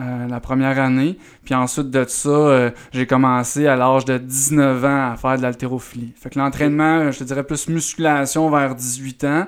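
Speaking with a Quebec accent, a man keeps a medium pitch at a moderate pace. His intonation is flat and monotone. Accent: Québécois French. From Eastern Townships, Quebec (near Sherbrooke). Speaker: strength and movement coach, former baseball pitcher. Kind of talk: podcast interview. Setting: audio-only podcast, no video.

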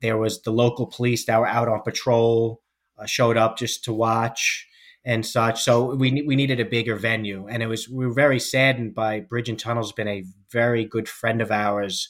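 Recorded very cleanly against a silent background, a man with an American accent speaks in a monotone, flat intonation. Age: 40s. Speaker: law enforcement officer and fitness coach. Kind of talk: interview podcast.

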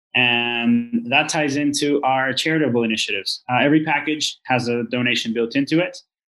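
Over music in the background, a man talks at a fairly quick pace and medium pitch with fairly even intonation and hardly any pauses. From Venezuela. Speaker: vertical farm co-founder, business side. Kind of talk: podcast interview.

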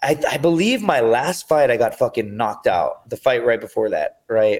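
The speaker has a plain, everyday voice with an American accent. The pace is moderate. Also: man. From US-Mexico border region. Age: 30s. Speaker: MMA fighter and reality TV contestant. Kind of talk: casual chat.

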